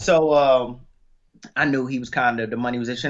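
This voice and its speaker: A man talks with a plain, everyday voice. His intonation stays fairly even. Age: 20s. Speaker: independent rapper. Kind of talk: interview.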